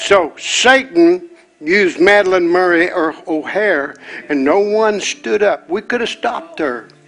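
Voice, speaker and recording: With lively intonation, a man talks fairly slowly in a high pitch against noticeable background noise. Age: 70s. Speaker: pastor. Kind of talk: sermon. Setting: church.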